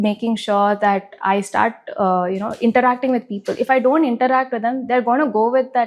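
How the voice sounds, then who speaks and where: This soft-spoken woman has an American accent and a high pitch. She talks at a fairly quick pace with fairly even intonation. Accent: American English with Telugu. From United States, Telugu family. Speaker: film producer. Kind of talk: interview.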